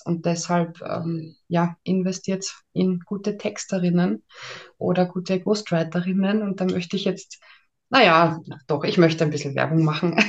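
An unremarkable speaking voice from a woman, fairly low and fairly even in intonation, at a fairly slow pace. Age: 30s. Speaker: ghostwriter and mental trainer. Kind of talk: interview.

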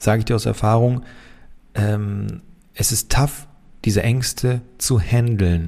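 The voice has a dark, mellow tone, somewhat breathy, with fairly even intonation. The recording is very clean, with a silent background. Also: man. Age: 30s. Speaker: engineer and company founder. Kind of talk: casual Q&A monologue.

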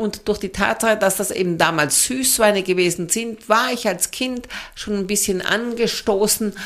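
A woman with an unremarkable speaking voice: medium pitch, ordinary pitch variation, moderate pace. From southern Germany, Swabia. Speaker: sommelier. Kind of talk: casual interview.

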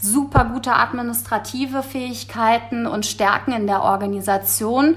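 This woman's moderate pace carries over noticeable background noise. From Germany, Frankfurt am Main (Hesse). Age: 30s. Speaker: insurance sales trainer manager. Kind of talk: interview.

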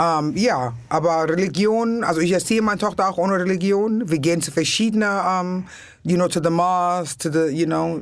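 Speaking at a moderate pace, a woman with an English accent has a fairly low pitch. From New York City. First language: English (speaking German). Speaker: comedian. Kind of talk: casual chat. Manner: energetic.

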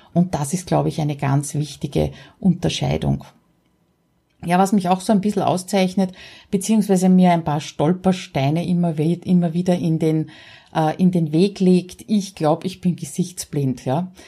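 Speaking at a fairly slow pace, a woman with an Austrian accent has a fairly low, somewhat breathy voice with a dark, mellow tone and fairly even intonation. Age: 50s. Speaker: podcaster. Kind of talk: solo podcast monologue.

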